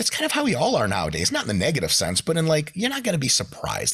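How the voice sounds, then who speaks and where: Talking at a very fast pace, a man uses vocal fry while his pitch swings very widely. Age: 30s. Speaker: exercise scientist and bodybuilding commentator. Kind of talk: casual chat.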